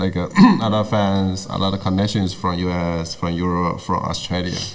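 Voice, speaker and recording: Speaking quickly in a flat monotone, a man with a Chinese accent and a very deep, low pitch keeps his loudness very even, with audible room echo and noticeable background noise. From China, northern Guangdong. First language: Chinese (Cantonese/Mandarin). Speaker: tech entrepreneur. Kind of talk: interview. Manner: halting.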